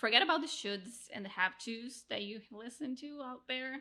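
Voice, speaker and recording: Her pitch high and tone bright and sharp, a woman with a Portuguese accent speaks in a very clean recording with a silent background. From Brazil, Rio de Janeiro. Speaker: podcast producer and coach. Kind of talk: interview conversation. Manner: animated.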